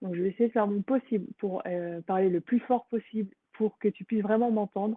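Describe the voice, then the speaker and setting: The woman's voice sits at a medium pitch. Her intonation is fairly even. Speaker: energy healer. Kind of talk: live stream introduction to guided healing meditation. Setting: live stream on social media. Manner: casual with frequent hesitations; soft-spoken during healing.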